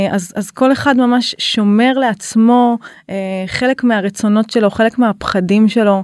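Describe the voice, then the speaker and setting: The sound is dry and close, with no echo. A woman does the speaking. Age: 30s. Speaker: couples counselor and intimacy facilitator. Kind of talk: interview. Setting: studio.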